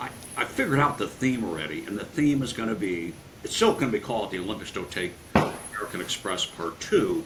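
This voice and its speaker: At a very fast pace, a man with a medium pitch talks with lively intonation against noticeable background noise. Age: 70s. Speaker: sports marketing executive and author. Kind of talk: interview. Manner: halting.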